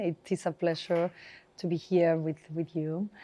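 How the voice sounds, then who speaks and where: Speaking with a Spanish accent at a moderate pace, a woman uses a fairly low pitch and a dark, mellow tone with monotone, flat intonation. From northern Spain. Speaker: HR director. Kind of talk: interview conversation.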